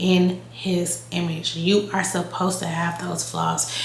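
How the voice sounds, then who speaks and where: A woman's monotone, flat delivery at a very slow pace, with noticeable background noise. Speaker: lifestyle YouTuber. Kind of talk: casual talk to camera. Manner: casual, conversational.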